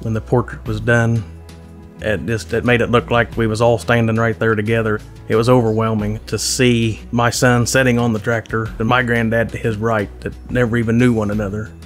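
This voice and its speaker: Faint music plays behind a voice with fairly even intonation moving at a fairly quick pace. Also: man. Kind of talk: interview answer. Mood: emotional, heartfelt. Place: home room. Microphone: lapel.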